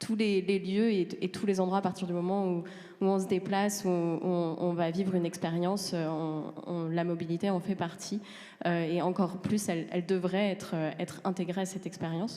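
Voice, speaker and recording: A woman speaks at a moderate pace with a medium pitch. Her intonation is flat and monotone. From France. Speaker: transport consultant. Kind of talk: panel presentation. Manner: halting, many hesitations.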